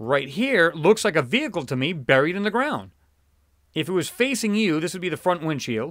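Very wide pitch swings and vocal fry mark a man's fairly high voice, captured in a very clean recording with a silent background. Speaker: YouTube channel host analyzing space images. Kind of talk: casual video commentary. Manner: fast talker; casual, filler-heavy speech.

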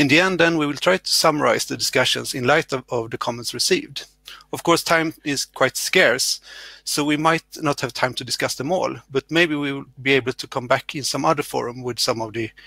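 Recorded dry with no echo, a man speaks at a moderate pace in a bright, sharp tone with ordinary pitch variation. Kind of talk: conference session introduction. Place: home room. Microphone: headset.

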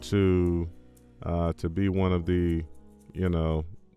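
A man talks with ordinary pitch variation, the sound dry with no echo and faint music playing in the background. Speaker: crypto and commentary channel host. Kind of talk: casual talk to camera. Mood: sarcastic, wry. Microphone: studio mic.

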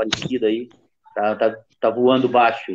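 A man talks at a moderate pace, with light background noise audible. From Rio Grande do Sul. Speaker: capoeira master, co-host; co-host. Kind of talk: casual chat. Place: home room. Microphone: video call.

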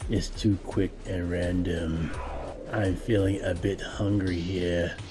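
In a cartoonish character voice, a man talks with a very deep, low pitch over clear background noise. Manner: grumbling, eager, sneaky.

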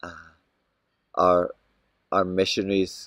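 In a Scottish accent, a man speaks at a very deep, low pitch, the sound dry with no echo. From Scotland. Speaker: missionary with a Bible translation organization. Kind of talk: video update to home church. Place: garden. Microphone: phone near.

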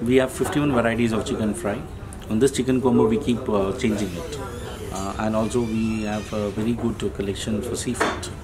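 A man's fairly quick speech with ordinary pitch variation and noticeable background noise. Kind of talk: interview answer. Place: cafe.

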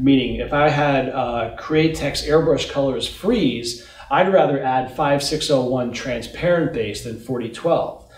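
Over audible room echo, a man with a fairly high pitch speaks at a very slow pace with hardly any pauses and ordinary pitch variation. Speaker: paint company president. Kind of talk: interview Q&A about products. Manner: informative, technical. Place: shop.

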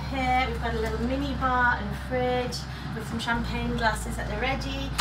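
Loud background noise fills the clip. A woman speaks at a moderate pace. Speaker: travel vlogger. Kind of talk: casual vlog chat. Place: home room. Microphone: phone near.

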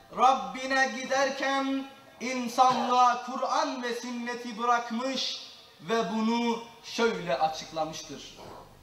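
Delivered at a very slow pace with ordinary pitch variation, the speech carries audible room echo over light background noise. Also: man, extremely high pitch for a man. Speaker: Qur'an reciter and mosque lecturer. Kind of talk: religious lecture (sermon) in Turkish. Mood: solemn, measured. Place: church.

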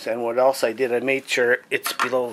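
Over light background noise, a man speaks at a fairly slow pace in a flat monotone. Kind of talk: tutorial. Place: home room. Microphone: phone near.

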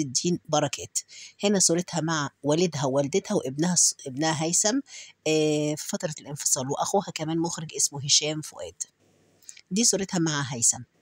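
Speaking at a moderate pace with an Egyptian accent, a woman uses a fairly low pitch and ordinary pitch variation. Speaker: YouTube narrator. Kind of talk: narrated biography with photos. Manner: hesitant with fillers.

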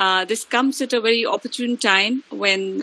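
Fairly slow speech comes through with a dry sound and no echo. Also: woman. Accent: Indian. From India. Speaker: head of department, professor. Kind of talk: welcome address. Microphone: video call.

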